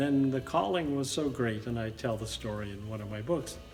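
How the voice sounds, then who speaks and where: Music plays behind a man who speaks with ordinary pitch variation. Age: 70s. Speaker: storyteller and author. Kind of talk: interview.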